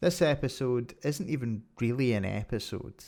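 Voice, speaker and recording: With a Scottish accent, a man talks at a moderate pace. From Scotland. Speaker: podcast host. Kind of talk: podcast monologue.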